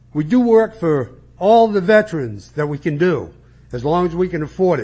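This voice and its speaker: With lively intonation and a high pitch, a man talks at a moderate pace. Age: 60s. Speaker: veteran volunteer, public commenter. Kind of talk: public comment. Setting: council chambers with audience.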